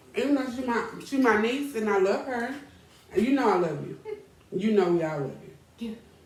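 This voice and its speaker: Audible room echo surrounds an animated tone and lively intonation delivered at a moderate pace with long, frequent pauses. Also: woman, fairly high pitch for a woman. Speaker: talk show host. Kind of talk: casual chat. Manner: loud.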